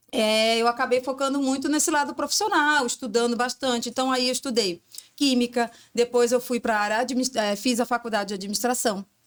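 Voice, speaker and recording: Her voice pitched high, a woman talks at a fairly quick pace with ordinary pitch variation and very even loudness. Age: 40s. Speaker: entrepreneur, former industrial logistics professional. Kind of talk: interview conversation. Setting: podcast studio.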